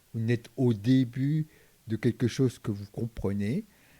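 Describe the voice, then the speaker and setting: A man's medium-pitched voice has a dark, mellow tone and a dry, close sound with no echo. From Vietnam, raised largely in France. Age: 60s. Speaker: retired executive turned entrepreneur. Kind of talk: interview. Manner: halting, many repetitions and fillers.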